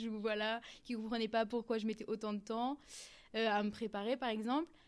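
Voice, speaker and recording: A woman's fairly high voice, monotone and flat in intonation. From rural France. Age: 20s. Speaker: fashion industry worker. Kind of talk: interview. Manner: hesitant with fillers.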